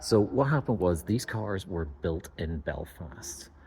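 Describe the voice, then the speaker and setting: A man speaks with a Northern Irish accent and ordinary pitch variation. His voice is somewhat breathy. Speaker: car video host. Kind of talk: casual presenting to camera. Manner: hesitant with fillers.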